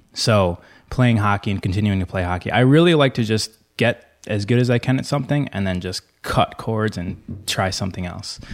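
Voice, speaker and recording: Recorded very cleanly over a silent background, a man with a normal speaking voice and an American accent talks at a fairly quick pace, with fairly low pitch and ordinary pitch variation. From US Midwest, Michigan. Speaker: gym owner and former hockey player. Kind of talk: casual chat.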